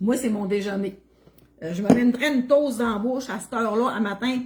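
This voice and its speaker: A woman with a Quebec accent talks at a very fast pace with ordinary pitch variation, against noticeable background noise. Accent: Québécois French. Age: 60s. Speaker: cooking livestreamer. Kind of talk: casual livestream chat. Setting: home kitchen livestream.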